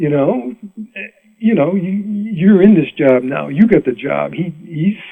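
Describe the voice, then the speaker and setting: A man with an American accent speaks at a very slow pace. His intonation is lively. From Rhode Island, US New England. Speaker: mandolin player. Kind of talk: interview storytelling. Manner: animated; halting.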